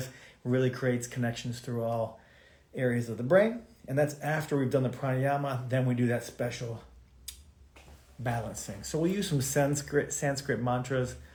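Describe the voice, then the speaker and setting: A man puts on a raspy character voice at a medium pitch, with ordinary pitch variation, a moderate pace and long, frequent pauses. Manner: slight slur.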